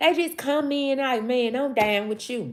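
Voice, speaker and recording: A woman speaks in an animated tone with a Southern accent. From US South, Mississippi. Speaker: live streamer. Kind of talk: casual livestream chat. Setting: livestream.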